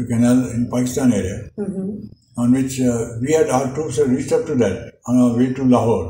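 Amid light background noise and audible room echo, a man talks at a moderate pace with lively intonation and hardly any pauses. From India. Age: 80s+. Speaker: war veteran. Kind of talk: interview answer. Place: home room. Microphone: camera far.

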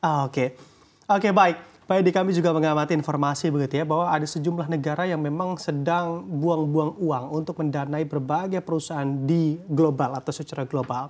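The delivery moves at a very fast pace. Its intonation stays fairly even. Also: man, fairly high pitch for a man. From Indonesia. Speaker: news anchor. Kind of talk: news interview. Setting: studio. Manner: formal. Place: studio. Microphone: lapel.

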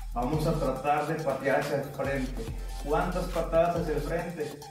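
A man at a moderate pace, with audible room echo and clear music in the background. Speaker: fitness instructor. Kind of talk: tutorial. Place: empty room. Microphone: camera far.

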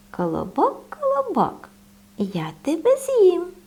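Putting on a character voice, the woman pitches it extremely high and talks fairly slowly. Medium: read story.

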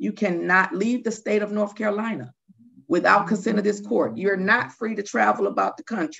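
A woman speaks with vocal fry. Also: quiet background. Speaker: judge. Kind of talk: court sentencing hearing. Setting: video call. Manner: chatty, jokes from the bench. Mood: firm, measured. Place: office. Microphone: video call.

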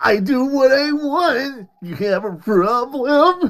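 The speaker uses a put-on character voice. It sits at a high pitch. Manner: sassy, defiant.

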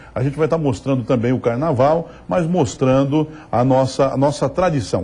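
A man with a medium pitch speaks in a dark, mellow, somewhat breathy tone with ordinary pitch variation. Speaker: TV show host presenter. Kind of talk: TV regional program presenter talk to camera.

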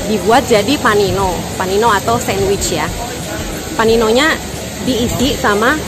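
Clear music plays behind a woman's voice. The sound is dry with no echo, and her pitch varies in an ordinary way. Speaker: travel food vlogger. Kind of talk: casual vlog chat. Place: street. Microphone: phone near.

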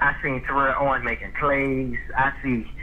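A man with an American accent talks through noticeable background noise. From Jacksonville, Florida (north side). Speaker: former pro football player. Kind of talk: casual interview.

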